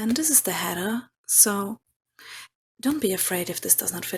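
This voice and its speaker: A woman speaks with a non-native accent. Her voice is somewhat breathy and her pace moderate. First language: not English. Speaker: tarot reader. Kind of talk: tarot reading.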